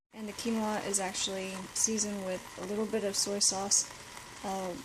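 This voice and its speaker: Speaking at a fairly slow pace in a medium-pitched, monotone, flat voice, a woman is heard over noticeable background noise with audible room echo. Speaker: vlogger sharing daily diet. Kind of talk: casual vlog narration. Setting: library. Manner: casual, conversational; quiet.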